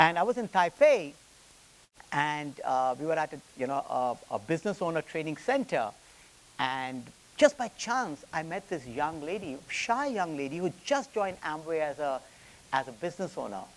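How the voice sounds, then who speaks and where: With an Indian accent, a man speaks at a moderate pace in a fairly high pitch, making very wide pitch swings. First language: Hindi. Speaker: business executive. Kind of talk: lecture. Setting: stage with audience. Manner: halting, with repetitions and fillers.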